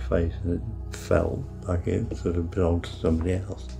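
Clear music plays in the background. Over it, a man speaks at a moderate pace with a very deep, low pitch. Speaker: interviewee. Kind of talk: interview answer. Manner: soft-spoken, slurred at times. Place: home room.

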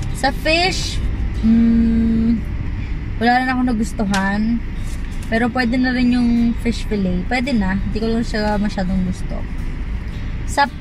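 Music plays in the background of a dry recording with no echo. The delivery is fairly slow, with long, frequent pauses. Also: woman. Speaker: vlogger. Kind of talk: casual vlog chat. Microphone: phone near.

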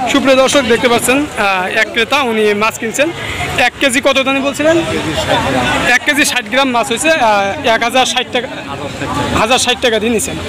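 The speech moves at a fairly quick pace with fairly even intonation. Clear background noise and crowd noise can be heard behind it. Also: man, extremely high pitch for a man.

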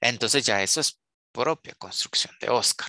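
The man's tone is bright and sharp, with ordinary pitch variation. The sound is dry with no echo, and the background is quiet. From Guatemala. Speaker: university lecturer. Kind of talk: online lecture. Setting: video call. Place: home room. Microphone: headset.

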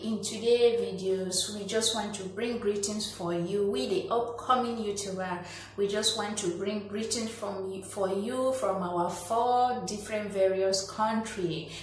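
A woman at a fairly slow pace with hardly any pauses and fairly even intonation, plus audible room echo and light background noise. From Nigeria, Cross River State. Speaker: small youtuber. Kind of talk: casual talk to camera. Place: home room. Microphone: phone near.

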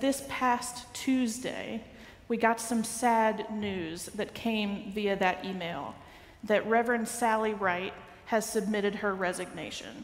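At a fairly slow pace, a woman speaks with ordinary pitch variation, and audible room echo surrounds her. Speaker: minister giving announcements. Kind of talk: church announcements. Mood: warm, a little sad. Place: church. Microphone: headset.

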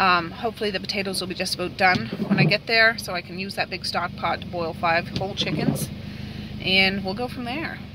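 A woman talks at a fairly quick pace with ordinary pitch variation. The sound is dry with no echo, but loud background noise is present. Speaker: family vlogger. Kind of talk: casual vlog chat. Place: car. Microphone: phone near.

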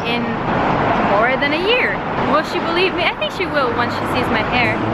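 There is music in the background as a woman talks. The sound is dry with no echo. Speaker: vlogger. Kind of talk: casual vlog chat. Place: street. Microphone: phone near.

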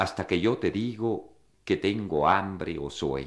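A man with a plain, everyday voice speaks at a fairly slow pace with lively intonation, in a very clean recording with a silent background. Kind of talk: poem reading, intimate, read aloud. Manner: slow, measured, contemplative, wistful.

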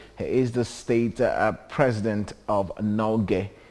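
His tone dark and mellow, a man is speaking. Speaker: TV show host. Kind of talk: TV show presenting. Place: studio. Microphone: lapel.

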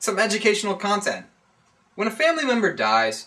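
The voice is raised and projected. It moves at a fairly quick pace. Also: man. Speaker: staff writer. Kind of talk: movie review reading.

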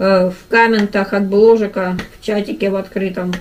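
A woman with fairly even intonation over light background noise. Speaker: vlogger. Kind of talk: casual mukbang vlog chat. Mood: mildly annoyed, joking. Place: home room. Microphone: camera far.

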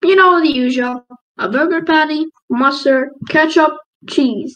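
A cartoonish character voice, high-pitched, at a fairly slow pace

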